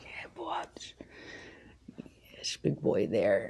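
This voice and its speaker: A woman whispers. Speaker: plant hobbyist vlogger. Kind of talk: casual vlog tutorial. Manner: soft-spoken; hesitant, many ums.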